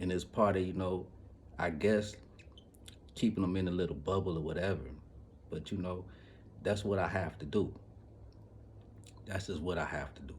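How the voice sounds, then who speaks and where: With a very deep, low pitch and an animated tone, a man talks at a moderate pace in a somewhat breathy voice with ordinary pitch variation, taking long, frequent pauses amid audible room echo. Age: 40s. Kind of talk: casual monologue vlog. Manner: animated, repetitive.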